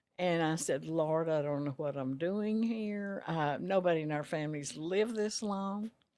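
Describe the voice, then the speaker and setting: Someone with a Texan accent speaks at a moderate pace with hardly any pauses and ordinary pitch variation. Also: woman, fairly low pitch for a woman. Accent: Texan Southern US. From Texas, Rosebud. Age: 90s. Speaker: retired dress shop owner. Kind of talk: interview.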